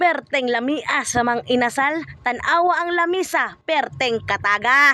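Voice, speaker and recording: This raised, projected voice moves at a fairly slow pace with hardly any pauses. Its pitch variation is ordinary. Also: woman, high pitch for a woman. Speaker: family vlogger. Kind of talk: casual vlog narration.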